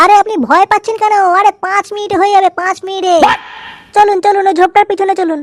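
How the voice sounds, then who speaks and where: A woman performs a cartoonish character voice at an extremely high pitch. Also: fairly quick pace. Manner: pushy, casual.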